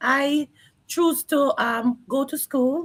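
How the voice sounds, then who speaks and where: This woman speaks with a Jamaican accent. Her pitch is high. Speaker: online business owner and early childhood educator. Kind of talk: live stream interview.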